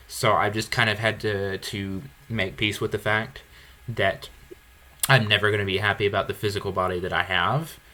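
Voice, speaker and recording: A man speaks at a moderate pace in a fairly low voice with a bright, sharp tone and fairly even intonation. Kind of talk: podcast conversation.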